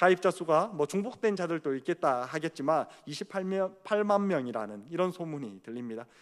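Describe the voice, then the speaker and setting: The speaker has lively intonation. The pace is moderate. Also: man, high pitch for a man. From Gyeongsang region, Korea. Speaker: junior pastor. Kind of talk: sermon. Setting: church youth service. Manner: hesitant, with filler sounds.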